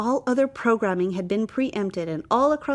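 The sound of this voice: The voice reads in an unforced way. Nothing about it sounds pushed.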